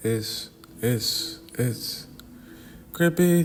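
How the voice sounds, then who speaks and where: A man talks at a fairly high pitch with lively intonation. There is noticeable background noise. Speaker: wrestling commentary youtuber. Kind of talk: casual vlog commentary. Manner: fast; halting, lots of repeats.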